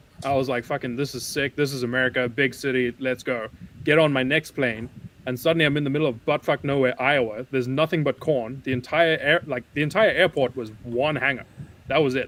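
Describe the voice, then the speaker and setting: A man with a non-native accent, medium pitch, fairly even intonation and a fairly quick pace. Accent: foreign. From Southern Africa. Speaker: sim racing podcast guest. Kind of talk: casual chat.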